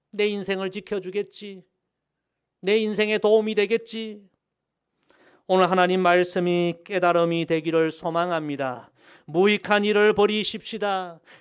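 A man's high-pitched voice at a fairly slow pace, with fairly even intonation, long and frequent pauses, and a very clean recording over a silent background. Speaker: pastor. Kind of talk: sermon. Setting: church. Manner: formal, earnest preaching; rhythmic, repeating key phrases, call-and-response.

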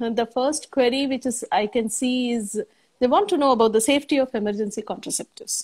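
A woman with a high pitch and ordinary pitch variation speaks against a quiet background. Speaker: gynecologist. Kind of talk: expert panel discussion. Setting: livestream video call. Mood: warm, calm. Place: home room.

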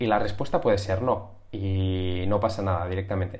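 Against a quiet background, a man speaks at a fairly slow pace with a fairly low pitch and a somewhat breathy sound. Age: 30s. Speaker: YouTuber teaching sales and persuasion; YouTuber teaching sales. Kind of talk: tutorial. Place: home room. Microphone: webcam.

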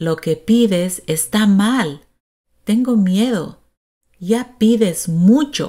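A woman with a dark, mellow tone speaks at medium pitch and a very slow pace, her intonation lively. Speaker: Spanish teacher and storyteller. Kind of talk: storytelling narration, reading a tale aloud and voicing characters. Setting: video channel, recorded narration. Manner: clear, measured, teacher-like pace; expressive, shifting to a demanding tone for the wife.

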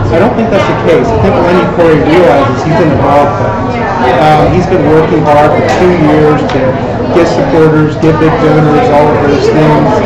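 Loud background noise fills the clip as someone talks at a moderate pace. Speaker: political journalist. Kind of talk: political panel discussion. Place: hall.

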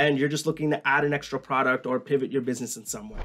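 Speaking at a very fast pace, a man delivers his words. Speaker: educational YouTuber. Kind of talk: tutorial. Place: home room.

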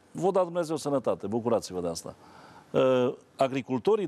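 With a dark, mellow tone, a man speaks in very wide pitch swings. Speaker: priest and agricultural TV journalist; priest, agricultural TV journalist. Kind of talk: TV talk show discussion. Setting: TV studio. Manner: animated. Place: studio. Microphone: lapel.

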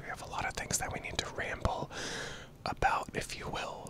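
Whispering and soft-spoken, a man talks at a moderate pace in a dry sound with no echo, over noticeable background noise. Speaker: content creator. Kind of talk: casual personal ramble vlog. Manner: soft close-mic ASMR whisper. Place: home room. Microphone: handheld.

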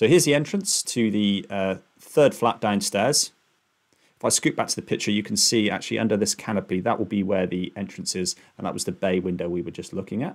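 A man's fairly low voice at a fairly quick pace, with ordinary pitch variation and a quiet background. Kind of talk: narrated screen-share walkthrough. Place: home room. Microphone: webcam.

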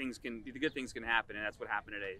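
The man's voice sounds dry, with no echo at all. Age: 30s. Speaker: amateur golfer, tournament champion. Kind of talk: post-round interview. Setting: outdoors at golf course. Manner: hesitant, many fillers. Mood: pleased, relaxed. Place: open country.

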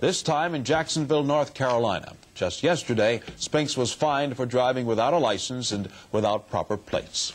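In a plain, everyday voice, a man gets his words out at a fairly quick pace. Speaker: television news co-anchor. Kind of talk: television news anchor delivery. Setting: 1970s broadcast TV news recording.

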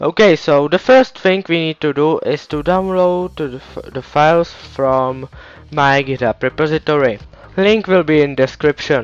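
With music in the background, a man speaks at a fairly slow pace and a fairly high pitch with ordinary pitch variation, in a dry, close sound with no echo. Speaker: game server tutorial maker. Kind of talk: software tutorial narration.

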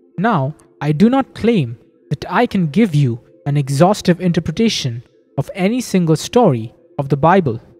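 Faint music sits in the background as the speech moves at a moderate pace. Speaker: lecturer. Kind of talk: lecture. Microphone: old recording.

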